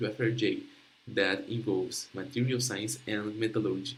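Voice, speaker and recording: A medium-pitched man with a Portuguese accent, at a moderate pace, with audible room echo. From Brazil, Rio de Janeiro. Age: young. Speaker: young researcher presenting project. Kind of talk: conference presentation. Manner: halting.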